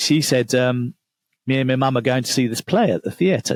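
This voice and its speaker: A man in an English accent at a moderate pace, with a dry, close sound and no echo. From England. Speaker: author and business coach. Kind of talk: podcast interview.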